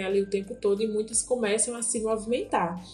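Against noticeable background noise, a woman speaks in a fairly high voice with fairly even intonation. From Bahia, Brazil (Vale do Salitre, Juazeiro). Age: 30s. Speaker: activist and communicator, history teacher. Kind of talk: interview.

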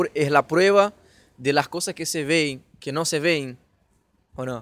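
In a Portuguese accent, the speaker goes at a fairly slow pace with ordinary pitch variation. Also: man. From Brazil. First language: Portuguese (speaking Spanish). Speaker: podcast host. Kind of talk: casual chat.

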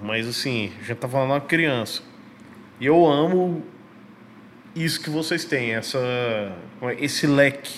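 Pausing long and often, a man speaks at a fairly slow pace with ordinary pitch variation. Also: fairly high pitch for a man. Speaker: podcast host. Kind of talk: casual chat.

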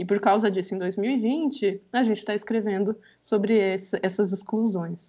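A woman talks at medium pitch and a moderate pace. Her tone is dark and mellow. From Brazil, Campinas (São Paulo state). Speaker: historian and researcher. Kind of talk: podcast interview.

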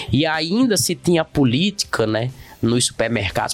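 A man's intonation moves in a lively way, with noticeable noise behind him. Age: 40s. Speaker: podcast host, humanities teacher. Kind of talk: casual educational discussion.

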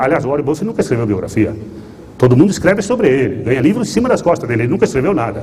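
Amid noticeable background noise and audible room echo, a man rushes along at a very fast pace in a fairly high pitch with very wide pitch swings. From Rio Grande do Sul, Brazil. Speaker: investor. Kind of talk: lecture. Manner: halting.

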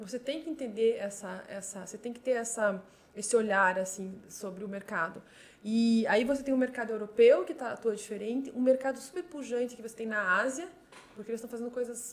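A woman talks in a normal speaking voice at a fairly quick pace, with a fairly high pitch and ordinary pitch variation. Her loudness swings widely. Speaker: compliance and regulatory affairs manager at a fintech. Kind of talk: interview.

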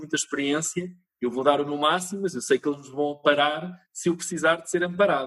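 A man with a European Portuguese accent talks at a moderate pace with ordinary pitch variation, his sound dry and close with no echo. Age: 40s. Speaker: TV producer and company founder. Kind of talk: interview.

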